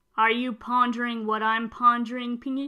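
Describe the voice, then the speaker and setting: A female-sounding, cartoonish character voice, high in pitch and delivered in a monotone, flat intonation. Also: moderate pace. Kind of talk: 90s cartoon voice. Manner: cartoon impression.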